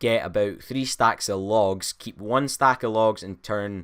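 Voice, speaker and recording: With a normal speaking voice at medium pitch, a man talks at a moderate pace with fairly even intonation on a very clean recording with a silent background. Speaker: gaming youtuber. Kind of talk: tutorial. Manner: casual.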